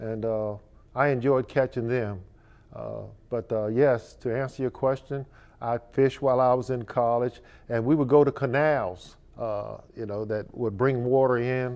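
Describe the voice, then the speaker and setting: A man with an American accent and an ordinary speaking voice speaks at a medium pitch and moderate pace, his intonation fairly even. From Virginia, Richmond. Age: 60s. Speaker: fishing charter captain. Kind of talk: interview.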